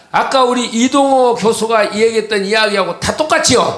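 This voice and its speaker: A man speaks at an extremely high pitch, in an animated tone with ordinary pitch variation and a moderate pace. Noticeable background noise runs underneath. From South Korea, same home region as the old man in the clip. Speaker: political speaker. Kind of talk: public speech.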